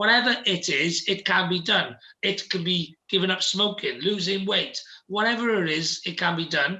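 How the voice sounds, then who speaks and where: A man's raised, projected voice with a British accent, high in pitch, bright and sharp in tone, with ordinary pitch variation. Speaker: entrepreneur and podcaster. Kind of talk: interview. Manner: fast.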